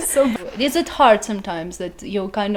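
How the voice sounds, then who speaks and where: Noticeable background noise sits behind a woman speaking at a moderate pace. Her medium pitch comes with lively intonation. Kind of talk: podcast host, casual interview.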